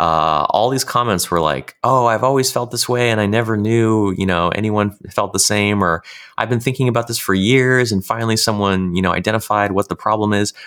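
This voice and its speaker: A man's fairly low-pitched, plain, everyday voice at a fairly quick pace, with hardly any pauses, very even loudness and ordinary pitch variation. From California, US. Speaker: author and online course creator. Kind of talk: interview.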